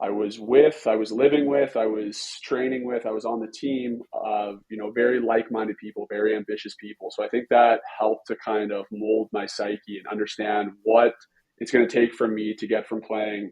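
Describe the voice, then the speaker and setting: Speaking with a Western Canadian accent, a man keeps to a moderate pace with hardly any pauses, his medium-pitched voice monotone and flat in intonation. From Canada, British Columbia (Vancouver Island). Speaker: pro hockey goalie and goalie coach. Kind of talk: podcast interview.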